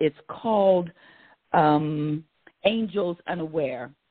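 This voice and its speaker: With an American accent, a woman talks at a very slow pace and fairly low pitch. Her intonation is lively. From western Pennsylvania. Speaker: actress and storyteller. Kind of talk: casual interview conversation. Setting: live radio show.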